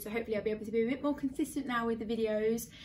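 Through light background noise, a woman speaks very fast with fairly even intonation. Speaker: fashion vlogger. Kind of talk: casual vlog chat. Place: home room. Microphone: camera far.

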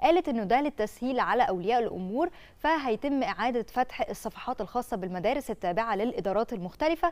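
This woman talks at a moderate pace with a high pitch and lively intonation. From Egypt. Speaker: TV presenter. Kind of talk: casual chat. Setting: studio. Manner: animated. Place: studio. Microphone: lapel.

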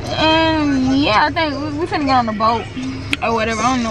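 A woman's voice over clear background music. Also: dry sound with no echo. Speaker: vlogger. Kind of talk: casual vlog chat. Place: car. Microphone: phone near.

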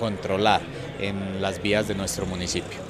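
A man speaking over noticeable background noise. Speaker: traffic authority official. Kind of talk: interview statement.

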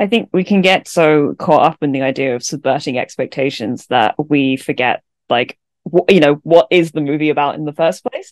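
Over a quiet background, a woman with a very deep, low pitch speaks at a moderate pace with lively intonation, in a dry sound with no echo. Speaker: podcast co-host. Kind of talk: casual chat. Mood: thoughtful, reflective. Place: home room. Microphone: studio mic.

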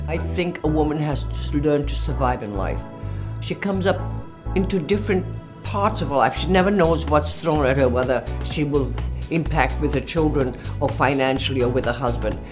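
Music plays clearly behind the voice. A woman talks at a medium speed. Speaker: fashion model. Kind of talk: interview answer. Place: studio.

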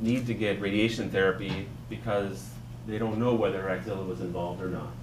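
Ordinary pitch variation marks a man's fairly quick speech, heard through noticeable background noise. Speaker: physician; panelist. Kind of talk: panel discussion. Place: hall.

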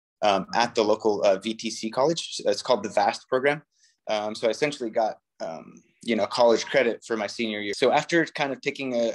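This man talks at a fairly quick pace with ordinary pitch variation against a quiet background. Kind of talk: interview answer. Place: home room. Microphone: phone near.

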